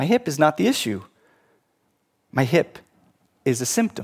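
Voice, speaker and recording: A man with vocal fry and a fairly high pitch speaks at a moderate pace, the sound dry and close with no echo. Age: 50s. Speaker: pastor. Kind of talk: sermon.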